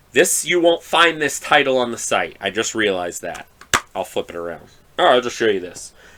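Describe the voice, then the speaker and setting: Noticeable background noise sits behind a man talking at a fairly quick pace. His pitch swings very widely. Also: medium pitch for a man. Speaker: horror movie podcaster. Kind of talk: casual solo podcast review. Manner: halting, many fillers.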